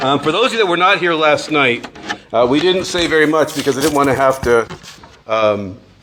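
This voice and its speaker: A man talks at a fairly quick pace with a fairly high pitch and very even loudness. There is audible room echo along with noticeable background noise. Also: lively intonation. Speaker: priest giving a retreat talk. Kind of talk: retreat talk to live audience. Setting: retreat hall with audience. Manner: mumbling; casual with many fillers.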